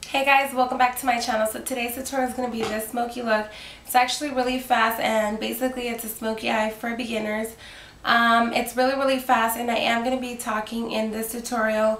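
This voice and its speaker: A woman talks at a fairly quick pace with a fairly high pitch and monotone, flat intonation. Audible room echo and noticeable background noise come through. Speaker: makeup artist. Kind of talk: makeup tutorial. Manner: casual, halting with fillers.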